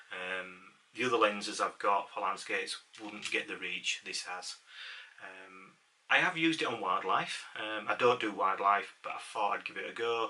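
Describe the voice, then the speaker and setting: Noticeable background noise sits behind a man with a fairly low pitch who talks at a moderate pace with ordinary pitch variation and big swings in loudness. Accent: Yorkshire. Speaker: amateur photographer. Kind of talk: casual talk to camera. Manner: hesitant, many fillers.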